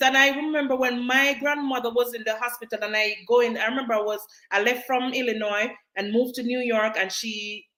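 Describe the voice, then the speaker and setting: A woman speaks loudly at a fairly quick pace, her pitch high. Her tone is bright, sharp and animated. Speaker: nurse and live-stream host. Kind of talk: live stream chat. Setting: live stream on social media.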